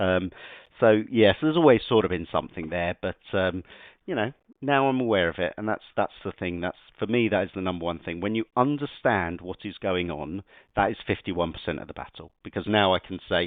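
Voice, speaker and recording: Ordinary pitch variation at a fairly quick pace. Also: man, very deep, low pitch for a man. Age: adult. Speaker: podcast guest, football referee. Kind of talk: casual interview. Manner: loud without realizing; hesitant with fillers and repetitions.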